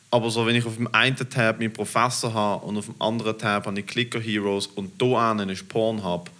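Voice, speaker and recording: Bright and sharp in tone, a man speaks at a moderate pace with a medium pitch. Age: 20s. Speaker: comedian. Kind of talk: casual interview.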